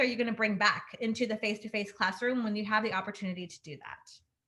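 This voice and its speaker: Very fast speech from a woman with a fairly high voice and ordinary pitch variation. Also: big swings in loudness. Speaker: webinar facilitator. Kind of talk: webinar presentation. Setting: video call.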